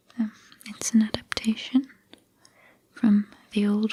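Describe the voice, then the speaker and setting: Very slow pacing marks this delivery. The speaker is soft-spoken. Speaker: ASMR creator. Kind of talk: casual introduction to viewers.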